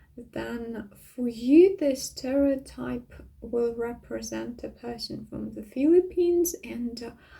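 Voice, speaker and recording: Speaking very slowly with a Russian accent, the voice swings widely in loudness. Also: woman. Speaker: vlogger. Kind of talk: casual monologue. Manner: hesitant, many fillers.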